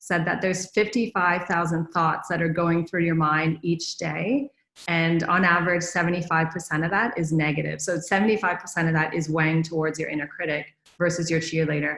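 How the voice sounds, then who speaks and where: With fairly even intonation and a fairly low pitch, a woman talks at a moderate pace. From Canada. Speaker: management consultant, conference speaker. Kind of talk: conference talk.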